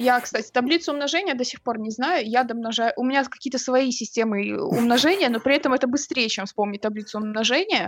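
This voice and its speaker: A woman with a high pitch and lively intonation speaks at a fairly quick pace, with hardly any pauses. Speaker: podcast co-host. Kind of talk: casual chat. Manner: assertive, argumentative.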